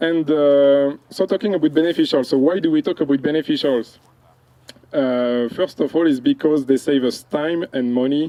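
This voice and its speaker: At a moderate pace, a man speaks with fairly high pitch, fairly even intonation and very even loudness. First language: French. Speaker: entomology researcher. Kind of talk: field presentation. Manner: hesitant, many fillers.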